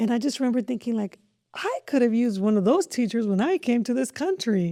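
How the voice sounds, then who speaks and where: A woman with a Spanish accent talks at a fairly quick pace, her pitch fairly high. Her tone is dark and mellow, with very wide pitch swings. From Mexico (Jalisco family), raised in southern California. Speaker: school district superintendent. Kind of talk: podcast interview.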